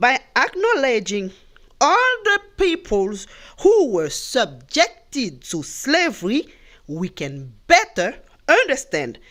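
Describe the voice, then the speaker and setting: Very slowly, a woman speaks in a high voice. Her pitch swings very widely. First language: Spanish. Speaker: commentator. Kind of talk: monologue talk. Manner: halting.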